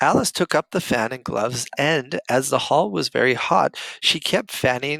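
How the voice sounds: The clip has a natural reading voice. That is how it sounds.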